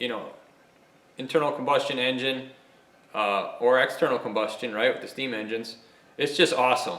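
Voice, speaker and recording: A man at a fairly quick pace with long, frequent pauses, plus audible room echo and noticeable background noise. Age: 40s. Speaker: machinist and YouTuber. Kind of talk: casual monologue. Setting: home workshop. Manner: animated.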